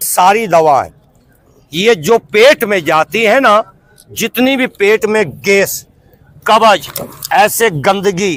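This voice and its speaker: The speech has ordinary pitch variation and long, frequent pauses. The sound is dry and close, with no echo. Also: man, high pitch for a man. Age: 60s. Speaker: street herbal medicine seller. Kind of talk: sales pitch.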